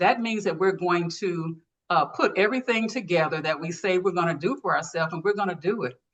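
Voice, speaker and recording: Talking at a fairly quick pace, a woman has a plain, everyday voice with medium pitch and ordinary pitch variation. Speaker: leadership speaker and coach. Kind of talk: interview talk presenting a framework.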